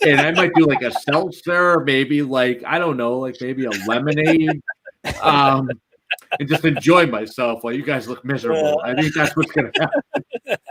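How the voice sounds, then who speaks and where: A man speaks at a moderate pace with a Boston accent, his pitch fairly high. His tone is animated, with ordinary pitch variation. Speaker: fantasy football podcast host. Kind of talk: casual chat.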